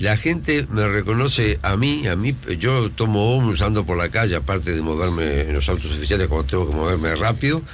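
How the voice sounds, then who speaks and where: The voice moves at a fairly quick pace with hardly any pauses, very wide pitch swings and vocal fry. Loudness stays very even, and there is audible room echo. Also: man, very deep, low pitch for a man. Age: 70s. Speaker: university rector. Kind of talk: radio interview.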